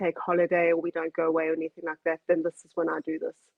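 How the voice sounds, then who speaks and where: The speaker is a woman with a fairly low pitch. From South Africa, German-speaking household. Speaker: hobbyist furniture painter. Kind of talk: interview.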